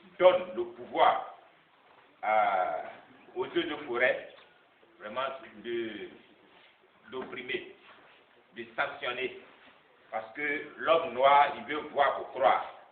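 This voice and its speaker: A man speaks at a very slow pace with long, frequent pauses and big swings in loudness, and audible room echo surrounds him. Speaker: NGO president. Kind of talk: public speech. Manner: halting.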